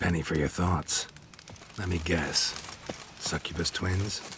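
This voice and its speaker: This man uses a put-on character voice, very deep and low, at a fairly slow pace. Background noise is clearly audible. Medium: short film. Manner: terse, dry.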